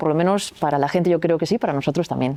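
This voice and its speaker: A woman talks at a very fast pace with a slight Galician accent. Her tone is dark and mellow, her pitch fairly low with ordinary variation. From Galicia, Spain. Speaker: athlete and sports coach. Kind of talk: podcast interview. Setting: recording venue.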